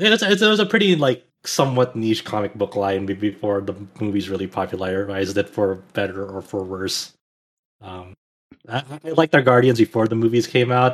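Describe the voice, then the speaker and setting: Speaking at a fairly quick pace, a man has an ordinary speaking voice at medium pitch with ordinary pitch variation. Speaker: podcast co-host. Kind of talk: casual chat. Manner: rambling, filler words.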